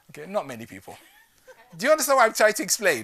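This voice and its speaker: Raising and projecting his voice, a man speaks at an extremely high pitch with very wide pitch swings and an animated tone. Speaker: business speaker. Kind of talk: keynote talk. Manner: fast.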